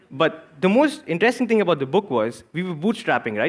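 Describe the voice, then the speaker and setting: A man speaks at a very fast pace. He talks with an Indian accent. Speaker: entrepreneur and author. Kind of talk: talk to live audience. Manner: animated; repeats words, halting.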